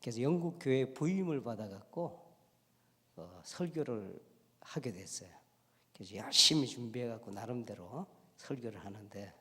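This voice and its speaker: A man with a strong Gyeongsang accent talks fairly slowly at medium pitch, with long, frequent pauses and lively intonation. His bright, sharp tone swings widely in loudness, and the room echo is audible. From Korea, Gyeongsang province. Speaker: pastor and lecturer. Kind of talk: special lecture in church. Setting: church.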